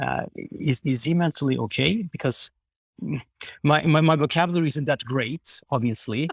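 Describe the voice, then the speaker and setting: Recorded very cleanly against a silent background, with a dry, close sound and no echo, a man with a fairly high pitch and vocal fry talks at a moderate pace with ordinary pitch variation. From southern Sweden (Skåne). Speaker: podcast guest. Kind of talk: casual chat. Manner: halting, frequent repetitions; polite.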